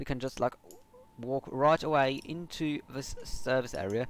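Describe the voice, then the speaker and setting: A man speaks at a moderate pace. His voice sits at a medium pitch. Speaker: gaming livestreamer. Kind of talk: live gameplay commentary. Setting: livestream. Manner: halting, many fillers.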